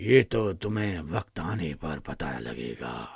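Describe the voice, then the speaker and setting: In a cartoonish character voice, a man sounds raspy with a very deep, low pitch and speaks at a very slow pace. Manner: warm, reassuring.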